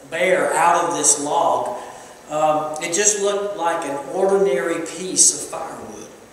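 A man with a high voice speaks at a fairly slow pace and with ordinary pitch variation, his words ringing with strong room echo over light background noise. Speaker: preacher. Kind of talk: sermon. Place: church.

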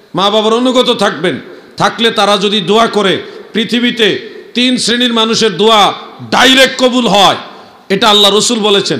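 A man speaks at a high pitch in a raised, projected voice. His loudness stays very even, and the background is quiet. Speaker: Islamic preacher. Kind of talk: sermon. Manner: animated. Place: stage. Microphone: handheld.

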